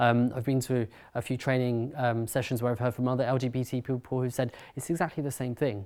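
Speaking in a London accent, a man with a medium pitch moves at a fairly quick pace with fairly even intonation, in a very clean recording with a silent background. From North London, England. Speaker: writer and speaker. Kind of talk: talk to an audience.

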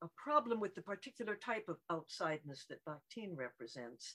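A woman speaks at a fairly slow pace, her pitch making very wide swings. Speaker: emeritus literature professor. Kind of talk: academic response. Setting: video call.

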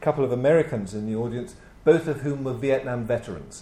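With an RP accent, a man talks very fast at a medium pitch, his dark, mellow tone somewhat breathy and his pitch varying in an ordinary way. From England, Birmingham. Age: 60s. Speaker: historian. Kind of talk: conference lecture. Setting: stage with audience.

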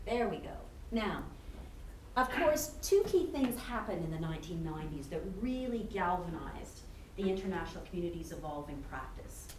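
Against noticeable background noise, a woman speaks at a medium pitch and a moderate pace, with very wide pitch swings and big swings in loudness. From Canada. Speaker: university professor and institute co-director. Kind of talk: academic panel introduction and lecture. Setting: lecture hall with audience.

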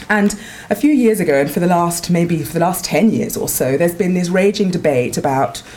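A woman with a London accent talks at a fairly quick pace with lively intonation. Noticeable background noise runs behind her. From North London. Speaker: academic researcher. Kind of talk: talk at a seminar. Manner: halting, many fillers.

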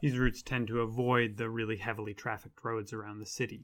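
The voice has an American accent and vocal fry. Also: man. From US. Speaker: lecturer and podcast host. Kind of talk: scripted-style informative talk. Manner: informal, conversational with fillers.

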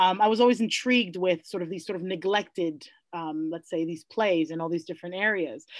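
A woman speaks with a New York accent at a fairly quick pace. Her pitch is fairly low with ordinary variation, and the background is quiet. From New York City, the Bronx. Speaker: classics professor. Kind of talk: interview. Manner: halting.

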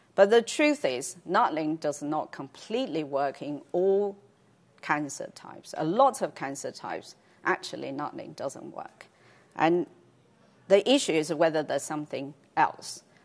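A woman with a fairly low voice speaks at a moderate pace with lively intonation. She takes long, frequent pauses and her loudness swings widely. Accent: Chinese. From China. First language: Chinese. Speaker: cancer researcher. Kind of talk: lecture. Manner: halting, many fillers.

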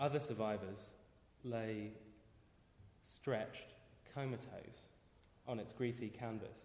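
A man speaks at a very slow pace in a British accent, with fairly even intonation, long and frequent pauses, and noticeable background noise. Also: medium pitch for a man. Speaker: poet. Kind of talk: reading aloud his own poem. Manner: dramatic, incantatory repetition; halting, self-interrupting confessional pauses.

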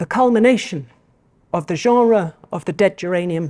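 A woman's dark, mellow tone with lively intonation, in a very clean recording with a silent background and a dry, close sound with no echo. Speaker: poetry professor giving a lecture. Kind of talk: lecture, with a poem read aloud (an AI-generated verse) at this stretch. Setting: lecture hall with audience. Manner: formal, measured, ironic and mock-solemn in the verse; sing-song rhythmic, deliberate cadence.

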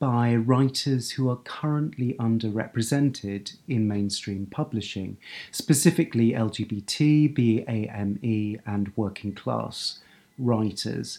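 A very slow man's voice with an English accent, dark and mellow in tone, medium in pitch, with ordinary pitch variation, on a very clean recording with a silent background. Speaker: book editor and writer. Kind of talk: talk about own writing. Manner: halting, with fillers and repetitions.

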